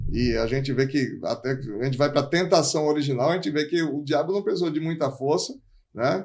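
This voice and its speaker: This man talks at a fairly quick pace in a plain, everyday voice. His pitch is fairly high, with ordinary variation. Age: 50s. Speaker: pastor and life coach. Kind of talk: podcast interview.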